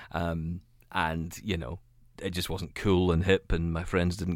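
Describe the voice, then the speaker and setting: A man's very deep, low voice in a monotone, flat delivery on a very clean recording with a silent background. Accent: Scottish. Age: 30s. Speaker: radio and tech podcast host, blind. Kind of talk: interview.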